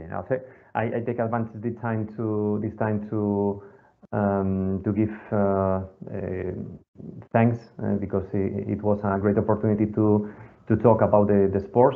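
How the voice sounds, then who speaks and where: The speaker has a Spanish accent and talks at a fairly slow pace. The intonation is monotone and flat. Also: man, fairly low pitch for a man. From Spain, Asturias (Oviedo). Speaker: conference speaker. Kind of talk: Q&A in online panel. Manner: halting, repeats words.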